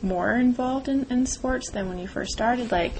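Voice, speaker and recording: Moderate pace from a woman with ordinary pitch variation and noticeable background noise. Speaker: student interviewer. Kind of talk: interview questions.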